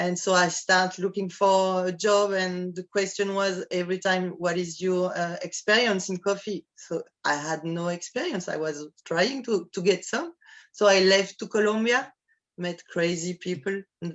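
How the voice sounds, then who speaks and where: A woman with a French accent speaks at a medium pitch and a fairly slow pace, her intonation fairly even. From France, Normandy. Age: 50s. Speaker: coffee producer. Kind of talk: interview. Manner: halting.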